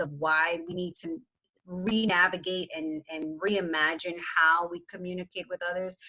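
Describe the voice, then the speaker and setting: A woman with an American accent, a plain, everyday voice, medium pitch and a moderate pace. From New York City. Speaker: workshop presenter, education professor and DEI consultant. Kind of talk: workshop presentation.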